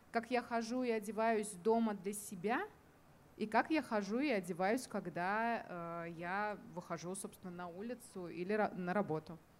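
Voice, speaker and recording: With ordinary pitch variation, a woman speaks in a medium pitch at a fairly slow pace. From Kazan, Tatarstan. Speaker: culturologist. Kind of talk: open panel discussion. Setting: live recording at a festival. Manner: hesitant, many fillers.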